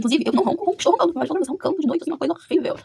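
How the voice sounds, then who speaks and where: A woman talks at a very fast pace, her pitch swinging very widely. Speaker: vlogger. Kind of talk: casual chat. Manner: animated.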